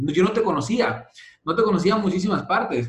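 A man is speaking at a fairly quick pace. His intonation is lively. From Mexico, Sonora (Santa Ana, near US border). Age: 30s. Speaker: network marketing leader. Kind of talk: interview. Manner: halting, many fillers.

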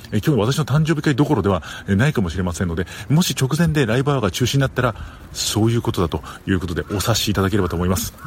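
A man with a fairly low voice, very wide pitch swings and a very fast pace. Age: 40s. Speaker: podcast host. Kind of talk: casual chat. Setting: at a flower shop. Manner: laughing often.

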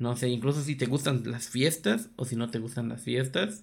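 A man talks at a moderate pace. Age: 20s. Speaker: podcast co-host. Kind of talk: casual chat.

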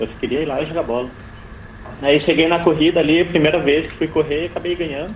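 Fairly even intonation from a man, with noticeable background noise behind him. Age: 30s. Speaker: long-distance runner. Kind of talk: interview.

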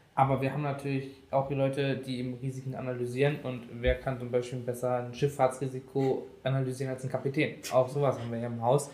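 At a very fast pace, a man talks in a medium pitch with monotone, flat intonation and a somewhat breathy sound. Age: 20s. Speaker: IT project manager. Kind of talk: casual interview.

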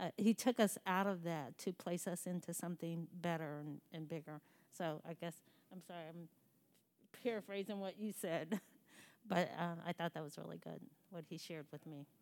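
A woman with a plain, everyday voice speaks at a fairly low pitch and a moderate pace, her intonation fairly even, on a very clean recording with a silent background. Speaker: congregation member praying. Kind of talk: prayer.

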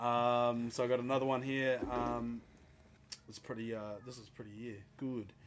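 Someone with a New Zealand accent speaks at a moderate pace in a flat, monotone way, with long, frequent pauses. The loudness swings widely, and background noise is noticeable. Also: man, medium pitch for a man. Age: 20s. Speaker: podcast co-host. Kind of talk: casual chat.

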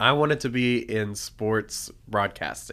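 Over a silent background in a very clean recording, a man with a Southern US accent talks in a bright, sharp, medium-pitched voice with ordinary pitch variation. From Tennessee, Nashville. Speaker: children's ministry pastor. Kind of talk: casual podcast chat.

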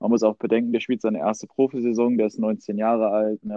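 Fairly quick and monotone, a man speaks at a fairly low pitch with flat intonation. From Ruhr area, Germany (Duisburg). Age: 20s. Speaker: fan podcast co-host. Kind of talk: casual chat. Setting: remote recording.

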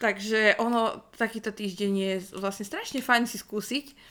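Her tone bright and sharp, a woman speaks at a medium pitch and a moderate pace. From northwestern Slovakia (Rajecká Lesná). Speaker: podcast co-host. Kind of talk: casual chat.

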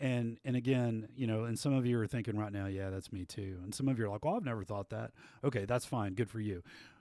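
In a very clean recording with a silent background, a man with a Texan accent speaks very fast, his tone dark and mellow at medium pitch with ordinary variation. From West Texas (Abilene). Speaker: band director, podcast host. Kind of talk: casual chat. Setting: performing arts center.

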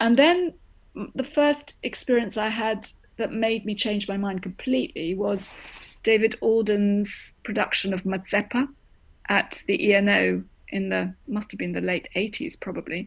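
Speaking at a fairly slow pace with an American accent, a woman uses a medium pitch and lively intonation in a somewhat breathy voice. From grew up in Greece, the US and Germany. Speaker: opera director. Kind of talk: interview.

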